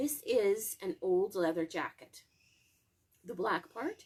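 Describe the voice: A woman does a hoarse, put-on character voice at medium pitch and a fairly slow pace.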